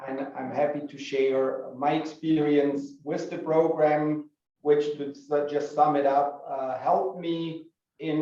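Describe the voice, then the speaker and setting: With a German accent, the speaker talks at a very slow pace in a dark, mellow tone and monotone, flat intonation, with audible room echo. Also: man. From Germany. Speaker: business school alumnus, entrepreneur. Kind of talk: information session talk.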